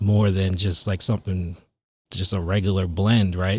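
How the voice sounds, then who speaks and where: A man with a Long Island accent speaks in a very deep, somewhat breathy monotone on a very clean recording with a silent background. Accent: New York (Long Island) American. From Long Island, New York. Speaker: DJ and remix producer. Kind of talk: casual chat.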